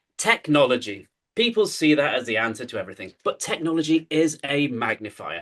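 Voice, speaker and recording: A man with a British accent speaks at a fairly quick pace, his fairly high pitch moving in very wide swings. His tone is animated, with vocal fry. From UK. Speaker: keynote speaker. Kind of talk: conference talk. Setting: stage with audience.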